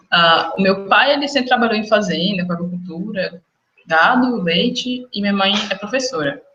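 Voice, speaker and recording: With music in the background, a woman speaks at a moderate pace and medium pitch with lively intonation. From interior of Minas Gerais, Brazil (near Goiás border). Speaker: medical student. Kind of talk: interview.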